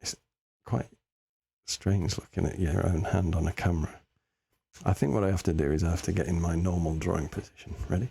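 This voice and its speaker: A quiet man with an English accent and a very deep, low, somewhat breathy voice with a dark, mellow tone talks at a fairly quick pace, leaving long, frequent pauses. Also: ordinary pitch variation. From England. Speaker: live-streaming artist. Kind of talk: casual chat while drawing on stream. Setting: live stream. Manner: halting.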